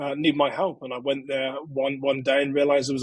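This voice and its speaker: A man with a British accent, fairly high in pitch, in a dry, close sound with no echo. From England. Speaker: security expert and author. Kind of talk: interview.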